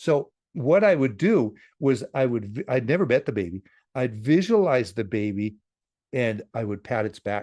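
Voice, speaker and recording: Against a quiet background, a man with a medium pitch and a dark, mellow tone talks at a moderate pace with lively intonation, the sound dry and close with no echo. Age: 70s. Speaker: psychic teacher and author. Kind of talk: interview. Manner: halting, many repeated words.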